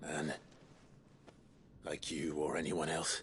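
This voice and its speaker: A man uses a put-on character voice, raspy and very deep. Clear background noise can be heard. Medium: video game. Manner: calm, measured.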